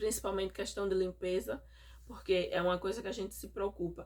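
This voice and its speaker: A woman speaks with a northeastern Brazilian accent on a very clean recording with a silent background. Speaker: mother vlogger. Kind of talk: casual vlog monologue. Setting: home, recorded at night.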